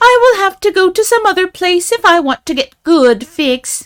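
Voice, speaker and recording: A woman's put-on character voice, fairly slow, with very wide pitch swings. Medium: read story. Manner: lively, teasing.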